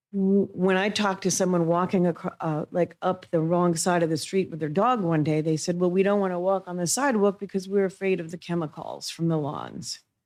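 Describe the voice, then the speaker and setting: A woman with a normal speaking voice and a fairly low pitch talks at a fairly quick pace with fairly even intonation and hardly any pauses. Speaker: public commenter at city council meeting. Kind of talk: public comment. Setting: city council meeting.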